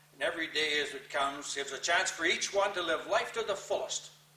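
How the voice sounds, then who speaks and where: With noticeable background noise, a man speaks at a high pitch and a fairly quick pace with ordinary pitch variation. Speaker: cowboy poet. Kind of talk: poetry reading. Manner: folksy, casual.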